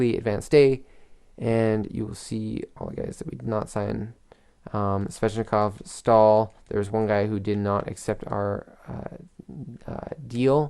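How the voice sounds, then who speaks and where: Quiet and very slow, a man speaks in a dark, mellow tone with ordinary pitch variation. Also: fairly low pitch for a man. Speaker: gaming commentator. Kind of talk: gameplay commentary.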